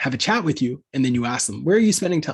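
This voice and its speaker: Here a man speaks with a slight Canadian accent. His pitch is medium. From Canada. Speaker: content marketing agency founder. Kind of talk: webinar Q&A.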